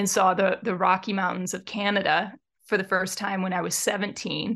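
The background is quiet. A plain, everyday voice speaks at a moderate pace. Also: woman. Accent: American. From Michigan, Metro Detroit. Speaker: mountain guide and field biologist. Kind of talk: interview conversation.

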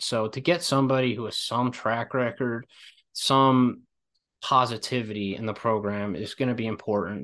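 A man with an East Coast US accent talks at a moderate pace in a bright, sharp tone against a quiet background. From Philadelphia area, US. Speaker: college basketball podcaster. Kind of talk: casual chat.

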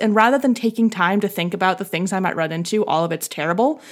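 Fairly high pitch from a woman speaker. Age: 20s. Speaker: podcast host and grad student. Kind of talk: casual chat.

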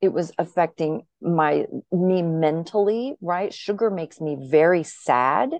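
In a normal speaking voice, a woman with a fairly low pitch talks at a fairly slow pace with ordinary pitch variation. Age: 50s. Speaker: podcast guest in addiction recovery, podcaster. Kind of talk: personal testimony interview.

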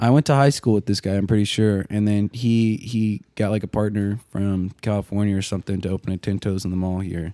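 On a very clean recording with a silent background and a dry, close sound with no echo, a man with an American accent talks at a fairly quick pace with hardly any pauses, using a fairly low pitch, a dark, mellow tone and fairly even intonation. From Arkansas. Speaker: podcast host. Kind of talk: casual chat.

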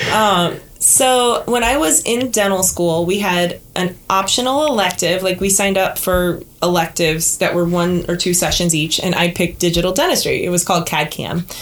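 A woman talks at a moderate pace with hardly any pauses, her pitch medium and her loudness very even. Noticeable background noise sits behind her. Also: ordinary pitch variation. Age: 40s. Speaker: dental professor and prosthodontist. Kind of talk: interview.

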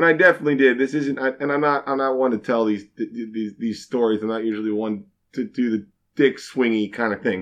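This man has an ordinary speaking voice, medium in pitch with ordinary pitch variation, and he talks at a fairly quick pace. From Kansas, Fort Scott. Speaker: bartender. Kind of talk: casual chat.

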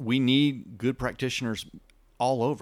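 A man talks in a West Texas accent. The recording is very clean, with a silent background. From West Texas and southeastern New Mexico. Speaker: chiropractor and wellness clinic owner. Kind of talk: interview.

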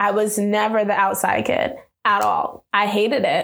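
In a room with audible echo, a woman speaks at a medium pitch and moderate pace with fairly even intonation. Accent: American. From New York City (South Bronx). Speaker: entrepreneur. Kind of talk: personal testimony interview.

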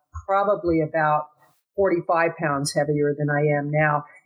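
Fairly low in pitch with fairly even intonation, a woman speaks in an ordinary speaking voice. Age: 60s. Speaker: business consultant and marketing strategist. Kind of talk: casual interview chat.

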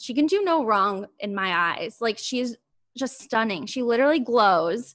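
At a moderate pace, a woman with an American accent talks in a fairly high pitch with lively intonation. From US Midwest, Ohio. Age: 20s. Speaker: podcast host, guest. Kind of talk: casual chat.

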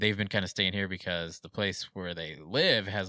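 A man speaks at a fairly quick pace in a bright, sharp tone. The recording is very clean with a silent background and a dry, close sound with no echo. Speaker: podcast guest, former band musician. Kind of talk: casual chat. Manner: soft-spoken.

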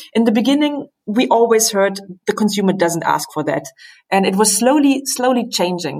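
Woman with a German accent, medium pitch, very wide pitch swings and a moderate pace. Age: 50s. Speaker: company managing director. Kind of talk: interview. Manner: halting.

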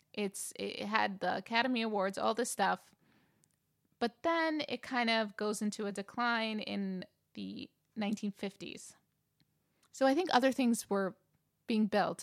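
In a very clean recording with a silent background and a dry, close sound with no echo, a woman with an American accent speaks fairly slowly at a fairly high pitch, with ordinary pitch variation and long, frequent pauses. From New York. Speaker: podcast co-host. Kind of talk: casual chat.

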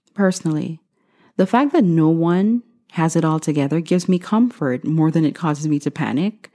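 A woman's fairly low voice carries a dark, mellow tone and lively intonation at a moderate pace. The recording is very clean and dry, close-up with a silent background and no echo. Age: 30s. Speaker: podcast host. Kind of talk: motivational monologue.

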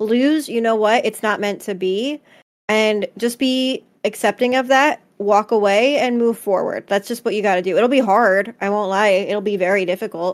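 A woman with an American accent uses an ordinary speaking voice, fairly high in pitch, at a moderate pace with ordinary pitch variation. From New Jersey, US. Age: 20s. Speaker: podcast co-host and streamer. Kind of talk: casual chat. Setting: live stream on Twitch.

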